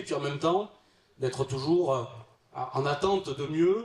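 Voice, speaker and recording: This man speaks with a southern French accent. He keeps a moderate pace. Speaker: local politician and debate moderator. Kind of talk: panel moderation introduction. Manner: hesitant, many fillers.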